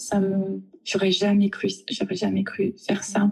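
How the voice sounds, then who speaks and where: A woman's monotone, flat intonation over music in the background. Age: 40s. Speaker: office manager, harassment victim. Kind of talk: testimony. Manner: halting, stammering.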